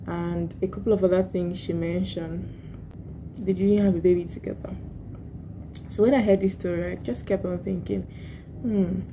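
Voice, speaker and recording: Soft-spoken and at a moderate pace, a woman leaves long, frequent pauses, with audible room echo around her. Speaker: vlogger and lawyer. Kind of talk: casual vlog talk. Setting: office at work. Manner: soft-spoken, low volume.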